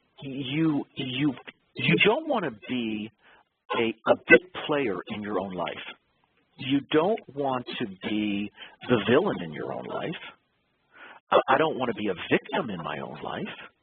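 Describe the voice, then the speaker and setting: Speaking at a fairly slow pace with long, frequent pauses, a man with a medium pitch lets his pitch swing very widely and his loudness shift a great deal. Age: 60s. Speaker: lawyer and author. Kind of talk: interview. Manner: halting, repeats words.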